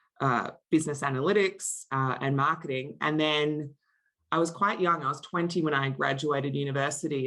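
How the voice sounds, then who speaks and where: Against a quiet background, a woman with an Australian accent speaks at a very deep, low pitch with fairly even intonation. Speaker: marketing executive. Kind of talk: interview.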